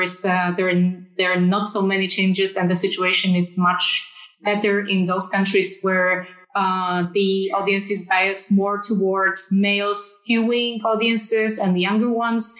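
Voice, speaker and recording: A woman's medium-pitched, monotone, flat voice at a moderate pace, with audible room echo and music in the background. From Poland. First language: Polish. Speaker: film sales agent. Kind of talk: panel discussion. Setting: video call.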